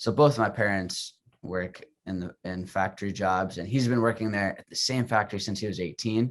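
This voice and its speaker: A man with an American accent and a normal speaking voice, at a moderate pace, with fairly even intonation and big swings in loudness, in a very clean recording with a silent background. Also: fairly low pitch for a man. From US Midwest. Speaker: podcast host. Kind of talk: interview. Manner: casual.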